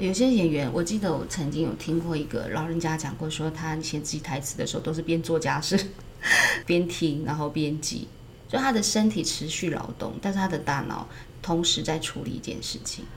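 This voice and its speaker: Soft-spoken woman with a very deep, low voice, amid noticeable background noise and audible room echo. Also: ordinary pitch variation, moderate pace. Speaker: acting teacher. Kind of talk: casual chat.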